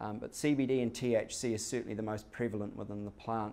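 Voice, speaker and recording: This man has a New Zealand accent and a medium pitch. He speaks at a moderate pace with monotone, flat intonation. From New Zealand, Hamilton. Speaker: company executive. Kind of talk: business presentation. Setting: stage with audience. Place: meeting room. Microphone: podium.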